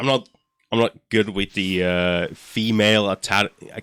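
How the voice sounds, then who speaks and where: Speaking at a fairly slow pace, a man with a fairly low pitch keeps his intonation fairly even in a dry, close sound with no echo on a very clean recording with a silent background. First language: not English. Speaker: video game speedrunner streamer. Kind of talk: live gameplay commentary. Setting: live stream. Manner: halting, many fillers and restarts.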